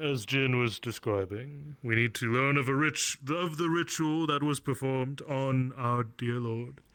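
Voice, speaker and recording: This man uses a put-on character voice at a medium pitch. He keeps a moderate pace with hardly any pauses. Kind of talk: roleplay villain speech. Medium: game stream. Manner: formal, archaic phrasing; measured, ominous.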